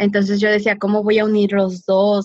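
A woman with a medium pitch talks at a moderate pace, recorded with a dry, close sound and no echo. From San Diego–Tijuana border region. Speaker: social entrepreneur. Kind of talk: interview. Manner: halting, many repetitions.

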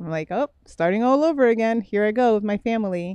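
The tone is dark and mellow, with ordinary pitch variation at a fairly quick pace. The sound is dry and close with no echo, over a quiet background. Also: woman. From Miami, Florida (born in Brooklyn, New York). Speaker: fitness champion and mentor. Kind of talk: casual chat.

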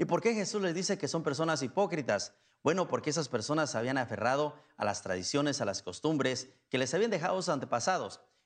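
Very fast speech from a man with fairly high pitch and very wide pitch swings, over a quiet background. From Mexico, Guanajuato. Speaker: priest. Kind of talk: sermon. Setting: church.

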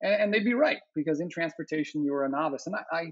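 A man's fairly high voice with an American accent. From Arizona. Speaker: education policy professor. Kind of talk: interview. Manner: halting.

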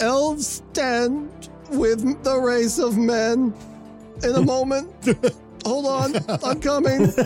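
A put-on character voice moves at a very slow pace while clear music plays in the background. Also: female-sounding voice, high pitch for a woman.

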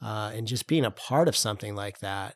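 A man speaks at a medium pitch and a moderate pace. The recording is very clean with a silent background. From upstate New York. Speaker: political campaign strategist. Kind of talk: interview.

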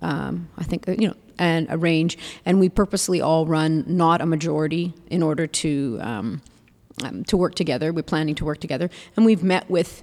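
On a very clean recording with a silent background, a woman talks at a moderate pace in a plain, everyday voice, fairly low-pitched with ordinary pitch variation. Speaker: city council candidate. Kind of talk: interview.

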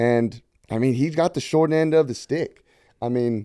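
A man speaks at a fairly quick pace with medium pitch and ordinary pitch variation. His tone is dark and mellow, in a dry, close sound with no echo. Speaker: podcast guest. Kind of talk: casual chat.

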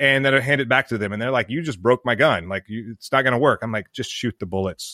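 Recorded very cleanly against a silent background, dry and close with no echo, a man with an American accent speaks in a bright, sharp tone. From US South, Mississippi. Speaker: military veteran and business founder. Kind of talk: interview.

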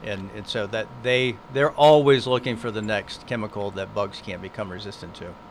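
A man with an ordinary speaking voice and an American accent talks at a moderate pace with hardly any pauses, a fairly low pitch and ordinary pitch variation. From US South, southeast Florida. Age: 50s. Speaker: entomology professor. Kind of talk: radio interview. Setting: studio.

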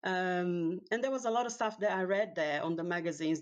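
Fairly quick in pace, a woman speaks with a Portuguese accent. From Brazil. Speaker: professional organizer and cleaning coach. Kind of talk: casual interview chat. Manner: hesitant, many fillers.

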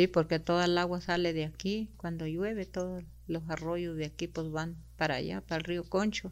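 In a very clean recording with a silent background, a woman with a Chihuahua accent speaks at a moderate pace in a fairly low voice with fairly even intonation. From Mexico, Sierra Tarahumara, Chihuahua. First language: Rarámuri (speaking Spanish). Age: 60s. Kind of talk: interview.

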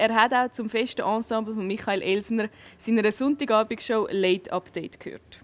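Moderate-paced speech from a woman in an unremarkable speaking voice, fairly high-pitched and with ordinary pitch variation. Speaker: talk show host. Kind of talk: casual interview; scripted intro. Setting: restaurant.

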